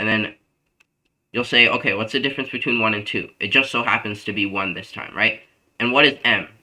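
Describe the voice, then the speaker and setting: A man speaks fairly quickly at a medium pitch, with ordinary pitch variation. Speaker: math tutor. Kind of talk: tutoring session. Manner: fast; casual with fillers.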